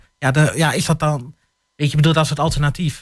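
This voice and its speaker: Somewhat breathy, a man talks very fast with a fairly high pitch. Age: 30s. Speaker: panel guest. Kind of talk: radio panel discussion. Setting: studio.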